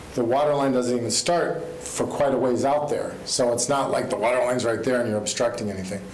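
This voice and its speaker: A man talks at a medium pitch with ordinary pitch variation. Noticeable background noise and audible room echo fill the recording. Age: 60s. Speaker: fence contractor speaking in support. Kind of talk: public hearing testimony. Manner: hesitant, many filler ums.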